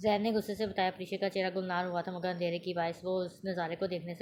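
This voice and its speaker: In a monotone, flat way, a woman speaks at a medium pitch. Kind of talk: audio novel reading.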